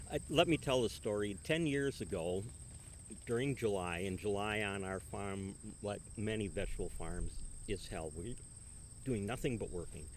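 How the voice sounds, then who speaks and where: An ordinary speaking voice at a moderate pace. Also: man. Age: 60s. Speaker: retiring farmer. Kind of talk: interview.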